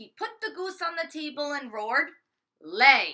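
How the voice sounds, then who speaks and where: A put-on character voice is performed at a high pitch. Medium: read story. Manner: booming, menacing.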